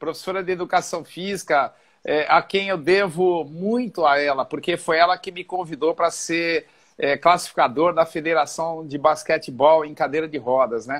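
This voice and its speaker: On a very clean recording with a silent background, a man with a fairly high pitch and an ordinary speaking voice talks at a moderate pace with ordinary pitch variation. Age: 60s. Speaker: physical education teacher and physiotherapist. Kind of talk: interview.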